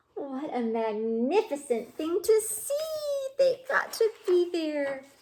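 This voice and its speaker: In a put-on character voice, squeaky with a warm tone, the speaker moves at a fairly slow pace through very wide pitch swings. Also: woman, extremely high pitch for a woman. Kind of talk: bedtime story. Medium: read story. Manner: warm, chatty, asks the listener questions.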